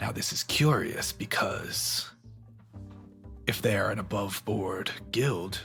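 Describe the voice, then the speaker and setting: Over clear music in the background, a man performs a raspy, put-on character voice. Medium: actual play. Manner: measured, controlled.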